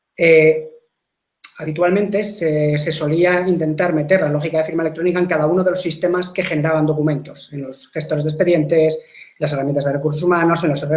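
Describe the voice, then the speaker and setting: A man speaks very fast at a fairly high pitch, flat and monotone. Audible room echo surrounds his voice. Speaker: software company technical presenter. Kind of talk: webinar product presentation. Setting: online webinar broadcast. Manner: hesitant, repeats words.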